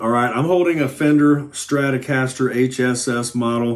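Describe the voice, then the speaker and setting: A man speaks at a fairly slow pace. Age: 60s. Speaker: guitar teacher. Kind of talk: tutorial. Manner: animated.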